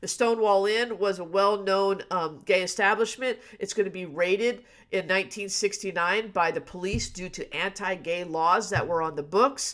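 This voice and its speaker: A woman at a medium pitch talks at a moderate pace with fairly even intonation on a very clean recording with a silent background. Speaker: history teacher. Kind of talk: live exam review lecture. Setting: live stream. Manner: off the cuff, with fillers.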